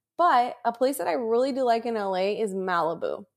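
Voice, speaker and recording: This woman has a plain, everyday voice with an American accent, a fairly high pitch and lively intonation. The recording is very clean, with a silent background. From San Diego, California. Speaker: podcast co-host, recent graduate. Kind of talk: casual chat.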